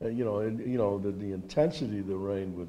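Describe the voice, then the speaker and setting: A man speaks with a dark, mellow tone. His pitch is fairly low. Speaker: World War II veteran. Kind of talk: oral history interview, an elderly veteran recalling wartime memories. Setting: interview at a veterans' reunion. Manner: halting, with frequent repeated words and false starts; reminiscent and precise about dates, with occasional chuckles. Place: hall. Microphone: handheld.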